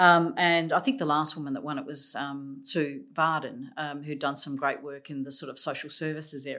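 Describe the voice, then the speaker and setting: A woman with an Australian accent speaks at a moderate pace in a very deep, low pitch, her bright, sharp tone delivered in a monotone, flat line with hardly any pauses, on a very clean recording with a silent background. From South Australia, from a Macedonian migrant family. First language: Macedonian. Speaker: senior public sector executive. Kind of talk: interview.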